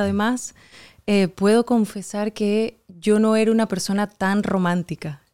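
A woman with a dark, mellow tone speaks at medium pitch with fairly even intonation. The recording is very clean, with a silent background and a dry, close sound with no echo. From Venezuela. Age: young. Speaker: actress and writer. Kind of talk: casual interview.

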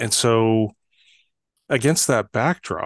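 With a Canadian accent, a man speaks at a very slow pace and medium pitch, recorded with a dry, close sound, no echo, and a quiet background. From northern Canada. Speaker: trust expert and author. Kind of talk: interview conversation.

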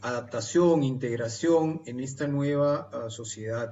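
Audible room echo colors this very slow speech. The pitch shifts in an ordinary way. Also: man. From Lima, Peru. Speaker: novelist and engineer. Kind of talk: radio interview.

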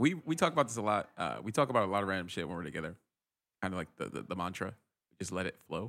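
A man with an American accent talks at a very fast pace in a bright, sharp tone, his pitch swinging very widely, on a very clean recording with a silent background. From Rhode Island, US. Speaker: tech worker, podcast guest. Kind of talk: casual chat.

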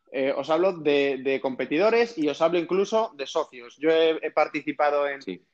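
A man with an ordinary speaking voice, fairly high in pitch, with lively intonation, a moderate pace and hardly any pauses. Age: 30s. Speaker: entrepreneur and investor. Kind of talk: interview.

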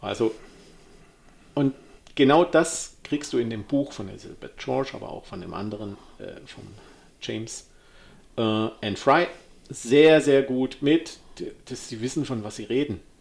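The speech is fairly slow, with long, frequent pauses. Pitch variation is ordinary, while the loudness swings widely. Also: man, medium pitch for a man. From Hohenlohe, Württemberg (southwest Germany). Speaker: podcast host, writer. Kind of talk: casual chat.

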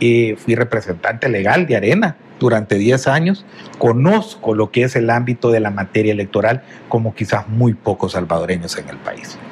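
Against noticeable background noise, a man speaks at a moderate pace and medium pitch with ordinary pitch variation. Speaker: politician, election candidate. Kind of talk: political interview. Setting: TV studio.

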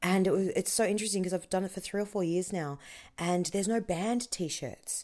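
A woman with an Australian accent, medium pitch and a fairly quick pace, in a very clean recording over a silent background. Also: fairly even intonation. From Australia, Melbourne. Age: 30s. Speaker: comedian. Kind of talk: casual chat.

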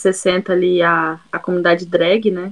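At a fairly slow pace, a woman speaks. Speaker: university student, podcast co-host. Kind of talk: casual chat.

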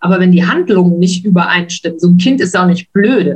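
A woman speaks in a somewhat breathy voice. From western Germany (Wuppertal). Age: 50s. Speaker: stepmother sharing her story. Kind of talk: interview, personal story.

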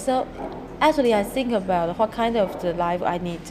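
With a Chinese accent, a woman talks at a moderate pace with ordinary pitch variation. Noticeable background noise can be heard. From Taiwan. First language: Mandarin Chinese. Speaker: architect and coffee shop owner. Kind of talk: interview. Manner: halting.

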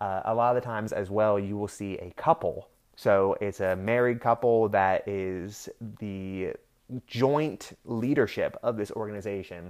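This man has an ordinary speaking voice, fairly low in pitch, with ordinary pitch variation and an American accent, talking at a fairly slow pace against a quiet background. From Pennsylvania. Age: 20s. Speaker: podcast host. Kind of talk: solo rant podcast. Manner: casual, with many filler words.

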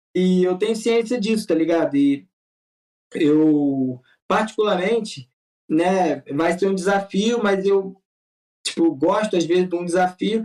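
A high-pitched man at a fairly slow pace, with ordinary pitch variation and long, frequent pauses. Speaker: youtuber making charity videos. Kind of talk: casual chat. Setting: video call.

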